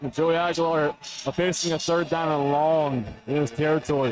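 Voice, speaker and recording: A man talks with fairly even intonation at a fairly high pitch. Music plays in the background. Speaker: color analyst. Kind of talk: live commentary. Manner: loud.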